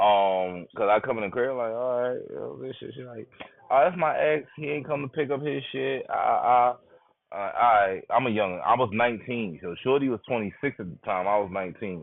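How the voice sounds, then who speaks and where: A man at a medium pitch and moderate pace, with lively intonation, big swings in loudness and hardly any pauses. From New York, Brooklyn. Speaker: live streamer. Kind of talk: storytelling on a live stream. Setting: live stream.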